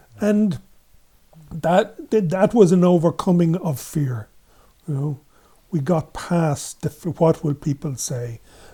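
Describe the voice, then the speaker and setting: A high-pitched man with an Irish accent and a dark, mellow tone, lively in intonation, at a very slow pace with long, frequent pauses. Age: 70s. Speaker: men's group facilitator. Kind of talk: interview.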